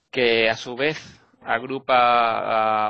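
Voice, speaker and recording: This man speaks with a Basque accent. His pitch is medium. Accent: Basque Spanish accent, noticeable. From Basque Country, Spain (Vitoria). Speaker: environmental NGO policy worker. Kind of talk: interview.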